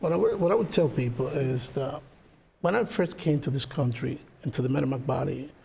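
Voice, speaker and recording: Somewhat breathy and dark, mellow in tone, a man's medium-pitched voice moves at a fairly quick pace with ordinary pitch variation. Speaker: political candidate, lawyer. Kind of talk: closing statement.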